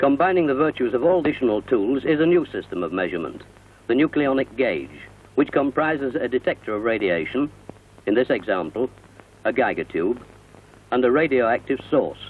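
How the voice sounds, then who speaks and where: This man has a normal speaking voice at medium pitch. He talks at a fairly quick pace with lively intonation. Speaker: narrator. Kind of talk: corporate narration.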